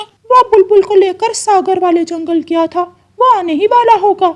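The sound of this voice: An extremely high-pitched cartoonish character voice moves along at a moderate pace.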